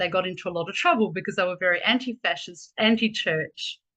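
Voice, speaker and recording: A woman with an Australian accent, at a moderate pace with ordinary pitch variation. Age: 60s. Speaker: professor and activist. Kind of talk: Q&A answer.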